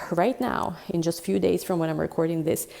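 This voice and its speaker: A woman speaks with a dark, mellow tone. Vocal fry runs through her voice. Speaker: tarot reader. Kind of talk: tarot reading monologue. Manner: fast; animated.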